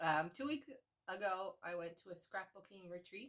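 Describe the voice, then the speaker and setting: At a moderate pace, a voice with a Newfoundland accent comes across in a bright, sharp tone. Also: woman. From Newfoundland, Canada. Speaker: cross-stitch vlogger. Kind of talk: casual chat. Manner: chatty with fillers.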